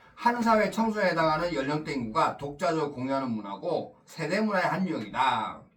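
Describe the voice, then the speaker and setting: A fairly high-pitched man at a fairly quick pace, with very wide pitch swings, audible room echo and noticeable background noise. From Busan, South Korea (moved from Seoul at age 8). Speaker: teacher. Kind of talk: lecture. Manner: casual, conversational.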